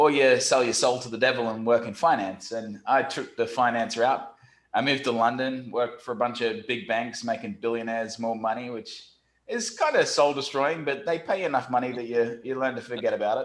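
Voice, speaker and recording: A man talks at a fairly quick pace. His pitch sits in the medium range. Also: ordinary pitch variation. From Australia, Brisbane. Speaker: SEO company founder. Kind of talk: podcast interview. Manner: animated.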